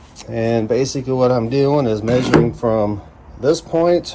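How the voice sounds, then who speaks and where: With an American accent, the speaker talks at a fairly slow pace and ordinary pitch variation over noticeable background noise. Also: man. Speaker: woodworking hobbyist. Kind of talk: tutorial. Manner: casual, thinking aloud.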